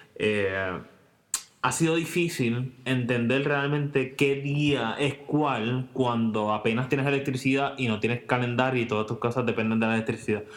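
Over noticeable background noise, a man talks at medium pitch and a moderate pace, with fairly even intonation and very even loudness. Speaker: podcast co-host. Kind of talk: casual chat. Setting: home recording, same room.

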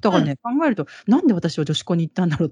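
Very fast, lively speech from a woman with a fairly low pitch, with a dry, close sound with no echo. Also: quiet background. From Japan, Kansai region. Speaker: interview guest, Japanese expat. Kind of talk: casual interview.

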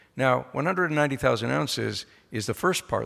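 At a fairly quick pace, a man speaks with a bright, sharp tone, medium pitch and vocal fry. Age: 50s. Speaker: mining company executive chairman. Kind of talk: conference speech. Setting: stage with audience.

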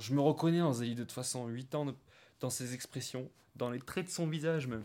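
This very clean recording with a silent background carries a dark, mellow tone with ordinary pitch variation. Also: man. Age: 30s. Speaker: woodworker and stepfather. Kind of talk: interview testimony. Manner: halting.

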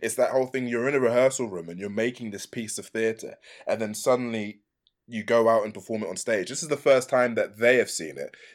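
A man talks at a fairly quick pace with an English accent. His medium pitch shows ordinary pitch variation. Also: big swings in loudness, very clean recording, silent background. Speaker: actor and video game voice actor. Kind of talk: casual interview. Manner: animated, laughs often.

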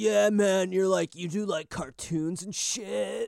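Using a put-on character voice, a man speaks high in pitch, at a fairly slow pace, with fairly even intonation. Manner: stoned, slow.

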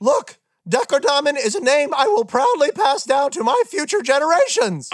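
Someone speaks in a put-on character voice. The pace is moderate. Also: man, extremely high pitch for a man. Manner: indignant, defensive.

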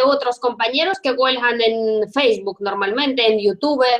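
Her voice high-pitched with ordinary variation, a woman speaks at a moderate pace against noticeable background noise. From Russia. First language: Russian (speaking Italian). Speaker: podcast host. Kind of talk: interview.

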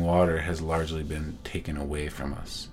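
Over noticeable background noise, the speaker uses fairly even intonation with an American accent. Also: man. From Owens Valley, California. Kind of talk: interview monologue.

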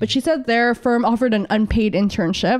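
Against a quiet background, a woman talks at a moderate pace with ordinary pitch variation in a normal speaking voice. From San Diego, California (born in Philippines). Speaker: union organizer. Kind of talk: podcast interview.

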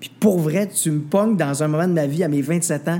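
With a dark, mellow tone and a fairly high pitch, a man talks at a moderate pace with ordinary pitch variation. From Quebec, Mauricie village. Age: 20s. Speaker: singer and TV/radio host. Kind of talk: interview. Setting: restaurant.

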